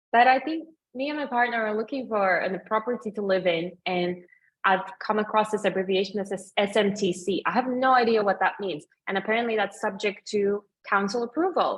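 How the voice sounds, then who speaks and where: Speaking with a non-native accent, a woman talks at a fairly quick pace in a fairly high pitch. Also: ordinary pitch variation. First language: not English. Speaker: webinar guest speaker. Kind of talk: webinar discussion.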